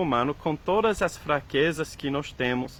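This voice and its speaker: Speaking with a non-native accent, a man uses a fairly high pitch with ordinary pitch variation at a fairly slow pace. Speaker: preacher. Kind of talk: sermon. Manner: halting, many fillers and repetitions.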